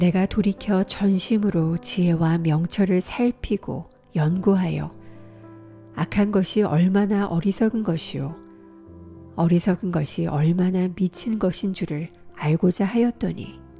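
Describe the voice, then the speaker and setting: A woman's very slow, calm voice with very even loudness and ordinary pitch variation, music in the background. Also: medium pitch for a woman. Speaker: voice actor. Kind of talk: scripture reading. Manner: calm, slow.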